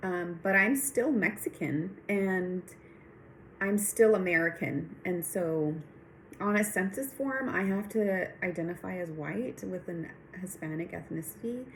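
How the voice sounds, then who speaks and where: A woman speaks at a fairly slow pace, her pitch medium with ordinary variation. Noticeable background noise sits behind her. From Texas. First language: Spanish. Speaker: nurse practitioner and PhD student. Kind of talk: recorded class reflection monologue.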